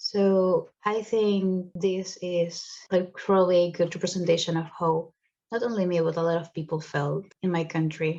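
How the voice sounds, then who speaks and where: A woman with a Spanish accent speaks at a moderate pace in a fairly low, dark, mellow voice with monotone, flat intonation. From Venezuela. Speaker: student photographer. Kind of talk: narrated exhibition talk. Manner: casual, conversational.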